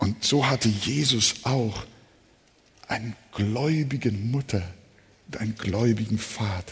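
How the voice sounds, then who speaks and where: Speaking very slowly with long, frequent pauses, a man uses a medium pitch and ordinary pitch variation. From Hamburg, northern Germany. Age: 70s. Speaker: preacher. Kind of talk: sermon.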